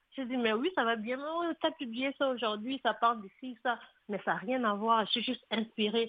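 This woman has an ordinary speaking voice and keeps a moderate pace. Her pitch varies in an ordinary way. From DR Congo. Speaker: author and poet. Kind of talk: radio interview.

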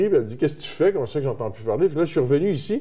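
A man with a normal speaking voice talks at a fairly high pitch. His intonation is lively. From Quebec, Terrebonne. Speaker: musician. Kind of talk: interview. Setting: studio, blindfolded.

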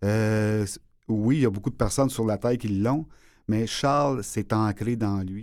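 A man speaks fairly slowly in a fairly low voice, keeping his intonation fairly even. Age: 50s. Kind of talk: interview. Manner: halting.

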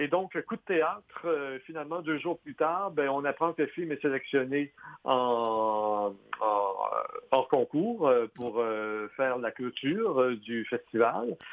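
A man speaks in a Quebec accent at a very slow pace. His pitch is fairly high and his intonation lively. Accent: Québécois French. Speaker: film critic and author. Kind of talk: interview.

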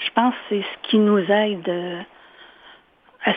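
Speaking in a monotone, flat intonation, a woman with a medium pitch goes at a very slow pace. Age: 60s. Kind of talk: interview.

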